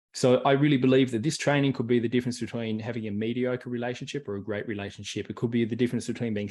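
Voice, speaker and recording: Against a quiet background, a man with an Australian accent talks at a very fast pace in a medium pitch. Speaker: personal development coach. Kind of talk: online workshop. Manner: animated.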